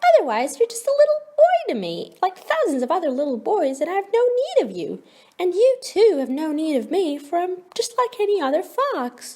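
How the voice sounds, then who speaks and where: A woman does a squeaky put-on character voice at an extremely high pitch with very wide pitch swings. Her pace is moderate. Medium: read story.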